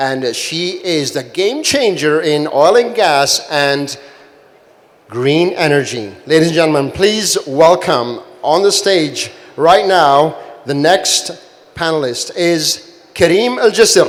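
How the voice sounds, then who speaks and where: Talking very slowly with lively intonation, a man with a fairly high pitch is heard amid audible room echo and noticeable background noise. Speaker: panel moderator. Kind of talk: panel introductions. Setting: conference stage with audience. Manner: loud; animated.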